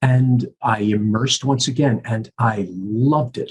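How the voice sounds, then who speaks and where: Somewhat breathy, a man with an American accent talks at a medium pitch with ordinary pitch variation. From US Northeast, New York (Bronx). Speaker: professor of communications and convention host. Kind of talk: podcast interview. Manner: halting, many repeated words.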